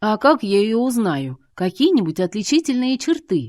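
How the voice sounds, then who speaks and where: A woman performs a put-on character voice that is rumbling and fairly high, with very wide pitch swings. She speaks at a moderate pace with a dry, close sound and no echo. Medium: read story. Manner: grumbling, ironic.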